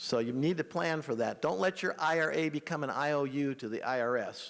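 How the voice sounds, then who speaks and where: Fairly high pitch from a man, delivered at a fairly quick pace. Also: ordinary pitch variation. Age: 60s. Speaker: estate planning adviser. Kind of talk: seminar presentation. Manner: fast.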